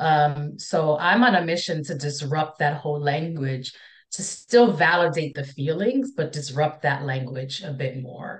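A woman's very deep, low, somewhat breathy voice at a fairly slow pace, with big swings in loudness. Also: ordinary pitch variation. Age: 40s. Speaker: counselor and speaker on impostor feelings. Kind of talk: casual interview conversation.

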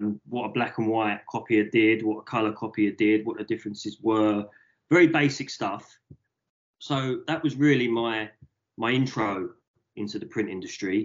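This is a normal speaking voice with ordinary pitch variation, delivered at a moderate pace. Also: man, medium pitch for a man. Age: 30s. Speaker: print shop owner. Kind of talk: interview.

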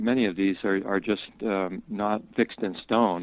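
His is a normal speaking voice, a man's at fairly low pitch with fairly even intonation. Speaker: herbalist and botanist. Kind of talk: interview, casual chat. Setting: phone call.

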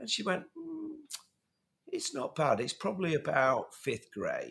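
This man delivers his words fairly slowly. He has a British accent. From England. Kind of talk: casual podcast conversation.

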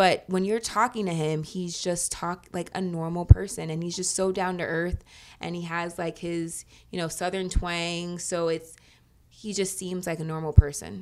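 A woman with an American accent has an ordinary speaking voice at a fairly low pitch. She goes at a moderate pace with fairly even intonation. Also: big swings in loudness. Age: 30s. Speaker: lawyer and former childhood cancer patient. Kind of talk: interview.

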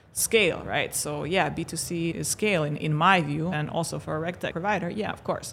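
Her voice is fairly low for a woman and carries vocal fry. Room echo is audible. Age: 30s. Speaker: fintech CEO. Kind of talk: casual chat. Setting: conference studio.

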